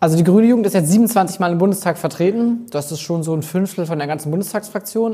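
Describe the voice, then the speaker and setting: Over a quiet background, a man speaks very fast in a high voice with a dark, mellow tone and ordinary pitch variation. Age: 20s. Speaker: youth party spokesperson. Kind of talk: interview answer. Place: home room. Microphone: lapel.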